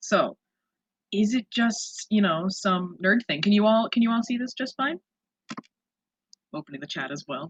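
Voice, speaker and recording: A woman speaks with a fairly high pitch, very wide pitch swings and an animated tone. Her voice is somewhat breathy, broken by long, frequent pauses. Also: moderate pace. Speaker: cosplayer. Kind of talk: online workshop presentation. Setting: video call.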